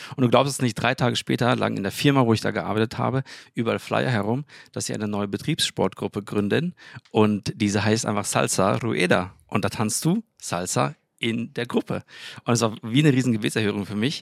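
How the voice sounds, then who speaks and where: A man talks at a fairly quick pace with vocal fry and a fairly low pitch. The sound is dry and close, with no echo. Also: ordinary pitch variation. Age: 30s. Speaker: engineer and church co-founder. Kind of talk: casual chat. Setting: balcony of apartment.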